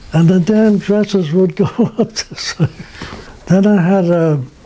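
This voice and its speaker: A man's high voice at a very slow pace, with noticeable background noise. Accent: Brooklyn. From Brooklyn, New York. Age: 80s+. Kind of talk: interview answer, reminiscing. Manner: hesitant, conversational.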